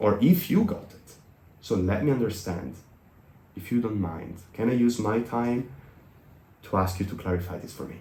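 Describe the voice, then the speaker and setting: At a moderate pace and with an Italian accent, the speaker sounds somewhat breathy with a dark, mellow tone, lively intonation, big swings in loudness and long, frequent pauses, all in audible room echo. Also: man, fairly low pitch for a man. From Italy. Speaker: business consultant. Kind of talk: podcast interview.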